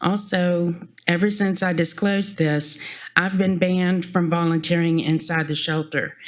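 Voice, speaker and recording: A woman's shaky, fairly low voice keeps a monotone, flat intonation at a moderate pace, with audible room echo. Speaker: animal shelter volunteer. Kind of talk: public comment at council meeting. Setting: council chamber podium.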